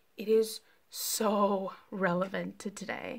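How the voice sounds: Speaking slowly with vocal fry, a woman keeps her intonation fairly even. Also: medium pitch for a woman.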